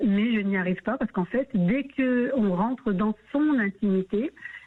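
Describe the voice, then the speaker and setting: A woman at a medium pitch and a fairly slow pace. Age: 60s. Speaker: radio caller sharing her story. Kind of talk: radio call-in testimony. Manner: halting, many hesitations.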